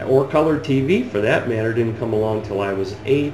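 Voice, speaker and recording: A man talks with lively intonation, with audible room echo and noticeable noise in the background. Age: 50s. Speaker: video blogger. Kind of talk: opinion rant. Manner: animated.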